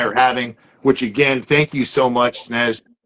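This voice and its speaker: This man, with an American accent, talks at a moderate pace in a dry, close sound with no echo. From Southern California. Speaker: motivational social media host. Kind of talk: live interview conversation. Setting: live broadcast. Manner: high energy; loud.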